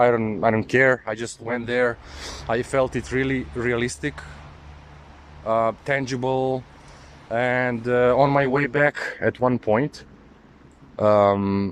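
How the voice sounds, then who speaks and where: Male voice, medium in pitch, with fairly even intonation. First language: not English. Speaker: occult spiritual video maker. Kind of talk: personal testimony monologue. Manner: halting, with many fillers.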